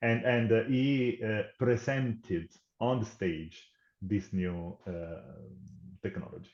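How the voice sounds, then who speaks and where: This man talks at a very slow pace with long, frequent pauses. His pitch sits in the middle range and varies in an ordinary way. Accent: Italian. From Italy. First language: Italian. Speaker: tech company program manager. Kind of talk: podcast interview.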